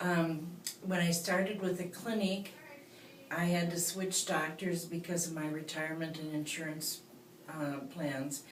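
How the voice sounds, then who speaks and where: Recorded with audible room echo and noticeable background noise, a woman speaks at a fairly slow pace in a fairly low pitch. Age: 60s. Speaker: patient giving testimonial. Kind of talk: testimony. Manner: halting, many fillers.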